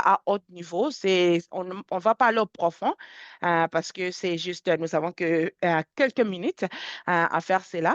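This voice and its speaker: A woman speaks at a fairly slow pace with a medium pitch and ordinary pitch variation. The sound is dry and close with no echo, over a quiet background. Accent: English. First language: English (speaking French). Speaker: software product specialist. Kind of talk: webinar software demonstration. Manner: halting, many fillers and repetitions.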